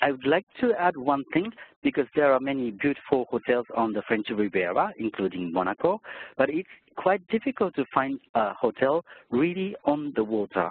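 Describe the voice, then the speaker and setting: With a Japanese accent, a man talks at a medium pitch and a moderate pace, his pitch swinging very widely. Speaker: hotel sales director. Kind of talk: sales presentation. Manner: hesitant with fillers.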